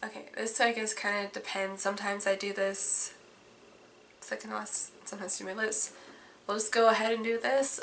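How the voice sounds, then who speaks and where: Over noticeable background noise, a woman talks at a moderate pace in a medium pitch with monotone, flat intonation. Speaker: beauty vlogger. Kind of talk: makeup tutorial vlog. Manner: casual, chatty.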